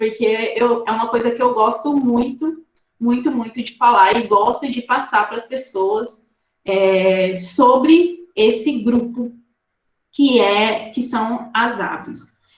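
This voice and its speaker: A woman speaks very slowly at a fairly high pitch. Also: ordinary pitch variation. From Rondônia, Brazil. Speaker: ornithologist, guest lecturer. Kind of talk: online lecture. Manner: animated.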